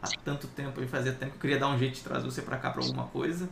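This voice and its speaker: Through noticeable background noise and audible room echo, a man of medium pitch talks at a very fast pace. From inland São Paulo state, Brazil. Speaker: tech YouTuber and interview host. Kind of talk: casual interview chat.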